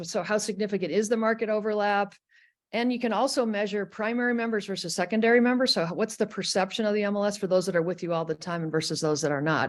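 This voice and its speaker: Very fast delivery with ordinary pitch variation over a quiet background. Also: woman. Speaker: industry consultant, webinar host. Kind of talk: webinar presentation.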